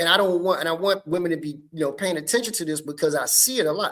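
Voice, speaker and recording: With a high pitch and ordinary pitch variation, a man speaks in an animated tone over a silent background in a very clean recording. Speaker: podcast host. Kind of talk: casual chat. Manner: loud.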